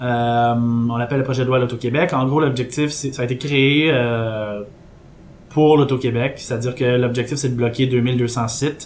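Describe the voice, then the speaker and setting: With monotone, flat intonation, this man talks. His pitch is medium. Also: moderate pace. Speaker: podcast columnist. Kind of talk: casual chat.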